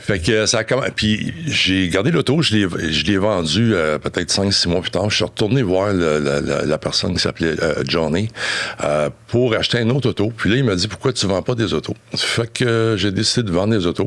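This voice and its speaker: A man's fairly low voice over noticeable background noise, very even in loudness, at a moderate pace with lively intonation. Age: 60s. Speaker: business owner. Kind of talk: interview. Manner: halting.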